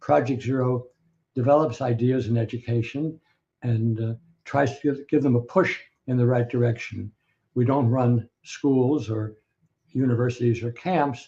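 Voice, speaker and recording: A man with an American accent speaks at medium pitch and a moderate pace, somewhat breathy with a dark, mellow tone. His intonation stays fairly even, with long, frequent pauses. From US Northeast, Scranton, Pennsylvania. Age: 80s+. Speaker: professor. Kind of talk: interview. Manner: hesitant, many fillers.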